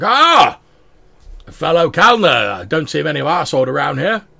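Gruff, bellowing put-on character voice from a man, fairly high-pitched, at a moderate pace. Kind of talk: old-fashioned, hearty.

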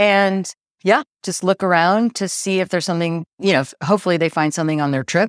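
On a very clean recording with a silent background, a woman speaks in a normal speaking voice at medium pitch, with ordinary pitch variation and a fairly quick pace. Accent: General American. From US. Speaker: real estate agent and lawyer. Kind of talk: casual interview chat. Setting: apartment, in person.

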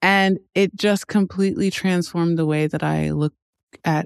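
A woman with an American accent speaks at a moderate pace in an unremarkable speaking voice, her pitch fairly low for a woman. The sound is dry and close, with no echo. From US, raised in a Nigerian household. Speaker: human design practitioner and podcast host. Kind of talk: interview conversation.

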